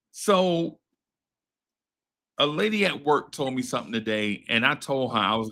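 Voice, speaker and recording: A man with an American accent speaks at a medium pitch and moderate pace, using lively intonation and a bright, sharp tone, with long pauses that come often. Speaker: podcast host. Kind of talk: casual chat. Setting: live stream. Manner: halting, repetitive.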